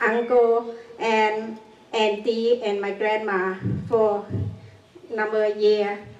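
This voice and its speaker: A woman with a non-native accent speaks at a fairly high pitch in a monotone, flat way, with audible room echo and noticeable background noise. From Cambodia. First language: Khmer. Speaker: genocide survivor. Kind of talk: public talk. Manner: halting.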